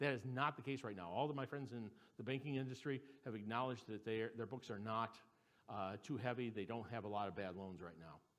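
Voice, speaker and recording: A man with a medium pitch and ordinary pitch variation talks very fast. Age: 60s. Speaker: economist. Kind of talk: seminar presentation. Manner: halting.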